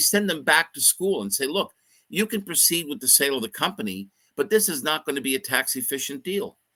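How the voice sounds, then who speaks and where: A man with a fairly high pitch, very wide pitch swings, vocal fry, a bright, sharp tone, a fairly quick pace and a dry, close sound with no echo. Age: 60s. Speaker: mergers and acquisitions advisor. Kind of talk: livestream interview. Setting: live online stream.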